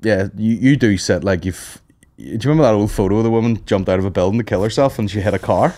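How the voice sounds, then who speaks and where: A man with a Northern Irish accent talks very fast in a fairly low, dark and mellow voice with ordinary pitch variation against a quiet background. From Northern Ireland. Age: 30s. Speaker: comedian. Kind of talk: casual chat. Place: studio. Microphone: studio mic.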